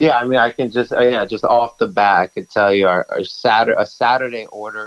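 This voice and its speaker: A man with a New York accent and fairly even intonation. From Brooklyn, New York. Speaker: bagel shop owner. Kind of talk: casual interview.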